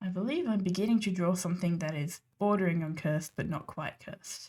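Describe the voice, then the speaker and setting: A woman speaks at a fairly quick pace in a somewhat breathy, dark, mellow tone. Her pitch is medium, with ordinary variation. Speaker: digital artist streamer. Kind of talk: casual livestream chat.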